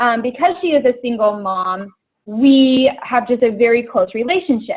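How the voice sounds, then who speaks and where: A woman speaks with an American accent at a moderate pace. Her pitch is high and her intonation lively. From Idaho, US. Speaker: fitness coach. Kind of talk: testimony. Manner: hesitant, many fillers.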